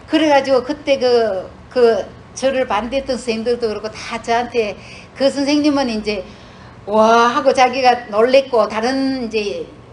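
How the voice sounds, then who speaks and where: Against noticeable background noise, a woman with a high pitch talks at a fairly slow pace with fairly even intonation. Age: 60s. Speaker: retired nurse, church speaker. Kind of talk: testimony. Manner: halting, many fillers.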